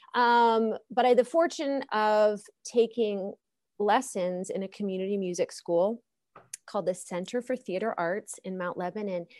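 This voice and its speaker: With an ordinary speaking voice, a woman talks fairly slowly at a fairly high pitch with ordinary pitch variation, against a quiet background. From Pittsburgh area, Pennsylvania. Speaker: opera singer and music professor. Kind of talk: interview.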